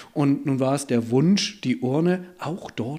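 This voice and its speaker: A man speaks fairly slowly in a fairly high voice with a dark, mellow tone. His pitch varies in an ordinary way. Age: 40s. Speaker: funeral director. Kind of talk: interview.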